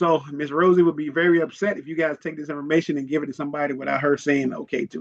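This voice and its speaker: Speaking very fast with an American accent, a man keeps a fairly high pitch and fairly even intonation. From Virginia, US. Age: 50s. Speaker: investing coach, retired military. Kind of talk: online class for teenagers. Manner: casual, interactive.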